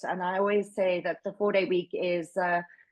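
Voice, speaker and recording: A woman speaks with a South African accent. Her pace is moderate. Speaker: workplace wellbeing advocate. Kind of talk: webinar presentation. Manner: loud, projecting.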